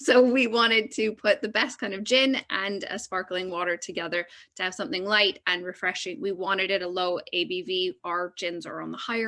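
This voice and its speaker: In a quiet background, a woman with a Canadian accent speaks at a fairly quick pace with hardly any pauses, her medium-pitched, bright, sharp voice showing ordinary pitch variation and big swings in loudness. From Canada. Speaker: drinks producer. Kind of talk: panel discussion.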